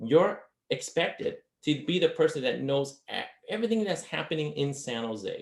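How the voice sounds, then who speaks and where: Here a man talks at a fairly high pitch. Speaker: marketing consultant presenter. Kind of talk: webinar presentation. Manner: fast.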